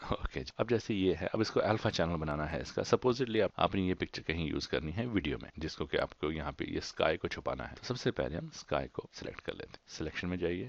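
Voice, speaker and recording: A man with a very deep, low pitch swings his voice through very wide pitch changes. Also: moderate pace, hardly any pauses. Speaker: software tutorial host. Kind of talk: tutorial. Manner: halting, searches for words; mixes English into Hindi.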